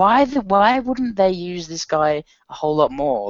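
This man speaks with an Australian accent. His pitch swings very widely. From Australia, Sydney. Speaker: podcast co-host. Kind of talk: casual chat.

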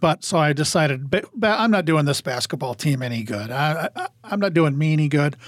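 A man speaks at a fairly quick clip with a fairly high pitch and lively intonation. The sound is dry and close, with no echo. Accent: Upper Midwest. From Iowa, small town. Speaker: high school sports media specialist. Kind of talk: casual chat.

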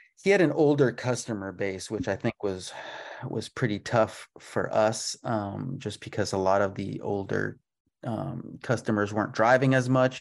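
A man's fairly low-pitched voice, ordinary pitch variation, moderate pace. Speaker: auto repair shop owner. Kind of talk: interview. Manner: halting, many fillers.

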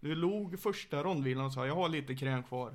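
This man has a plain, everyday voice. He speaks at medium pitch and a moderate pace. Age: 30s. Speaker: MMA coach. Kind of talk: casual chat. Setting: living room, shared mic.

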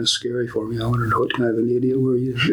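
Against noticeable background noise, a man with an American accent talks very fast at a medium pitch, his intonation monotone and flat. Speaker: retired contractor. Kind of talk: casual interview. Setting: conference room at museum.

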